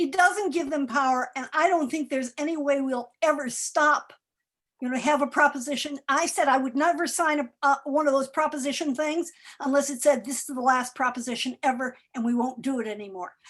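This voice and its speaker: Speaking at a fairly quick pace, a woman has a high pitch and ordinary pitch variation. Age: 70s. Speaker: retiree advocate and activist. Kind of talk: panel Q&A on election.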